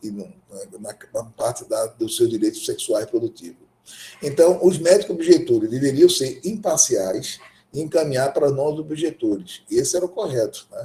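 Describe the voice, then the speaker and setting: This man talks at a moderate pace, with big swings in loudness. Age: 60s. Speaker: gynecologist and obstetrician lecturer. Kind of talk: lecture. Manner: halting.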